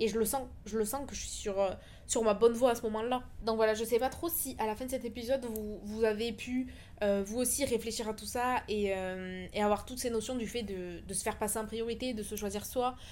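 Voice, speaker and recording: A woman with a normal speaking voice talks at a moderate pace, her fairly high pitch held in fairly even intonation. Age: 20s. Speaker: podcast host. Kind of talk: personal monologue. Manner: casual with fillers.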